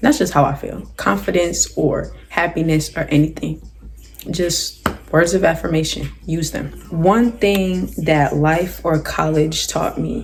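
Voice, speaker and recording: The speech moves at a fairly slow pace with noticeable background noise behind it. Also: woman. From South Jersey, US. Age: 18. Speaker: YouTuber, college student. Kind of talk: casual Q&A vlog. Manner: animated.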